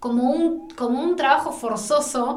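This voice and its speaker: A woman with a Rioplatense accent speaks fairly slowly in a high voice with lively intonation. Noticeable background noise and audible room echo fill the recording. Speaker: film journalist, podcast co-host. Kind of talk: casual chat.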